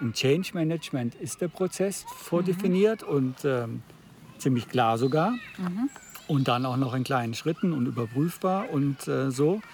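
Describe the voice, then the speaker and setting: Lively intonation at a fairly slow pace over noticeable background noise. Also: man, fairly high pitch for a man. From Baden, Freiburg. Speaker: podcast host, coach and trainer. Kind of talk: casual conversation. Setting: outdoors.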